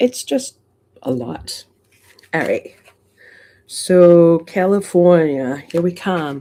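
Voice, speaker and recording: A woman with a Massachusetts accent speaks at a very slow pace, leaving long, frequent pauses. Her fairly low voice has a dark, mellow tone and lively intonation. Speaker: coin collecting livestreamer. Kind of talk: casual livestream chat. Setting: home livestream. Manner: animated.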